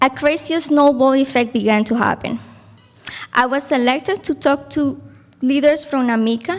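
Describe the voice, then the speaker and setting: A woman with a Spanish accent speaks at a high pitch and moderate pace, with ordinary pitch variation. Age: young. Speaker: program graduate, class speaker. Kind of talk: graduation speech.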